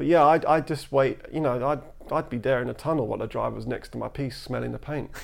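A man with a London accent talks at a very fast pace on a very clean recording with a silent background. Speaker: graffiti artist. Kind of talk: casual chat. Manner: matter-of-fact.

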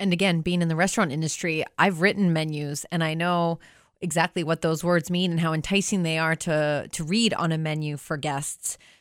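Talking at a fairly quick pace, a woman with a plain, everyday voice keeps a fairly low pitch and fairly even intonation on a very clean recording with a silent background. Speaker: radio host. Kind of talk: casual radio interview. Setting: radio studio.

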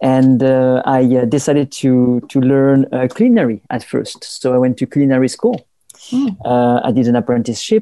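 A man's dark, mellow voice at a medium pitch, with a French accent, a moderate pace, ordinary pitch variation, very even loudness and a dry, close sound with no echo. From southern France.

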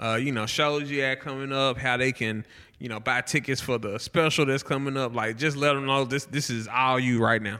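In a very clean recording with a silent background, a man with a bright, sharp tone speaks at a moderate pace with fairly even intonation. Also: medium pitch for a man. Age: 30s. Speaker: podcast host. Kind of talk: casual chat.

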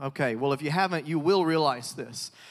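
Recorded very cleanly with a silent background, a man with a Southern US accent speaks at a fairly quick pace in a fairly high voice with ordinary pitch variation. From US South. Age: 30s. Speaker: evangelist. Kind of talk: sermon. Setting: church. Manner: animated.

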